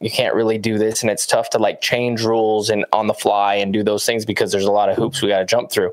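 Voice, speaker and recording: At a fairly quick pace, a man talks in a normal speaking voice at a medium pitch. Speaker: professional disc golfer and co-host. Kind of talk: casual chat.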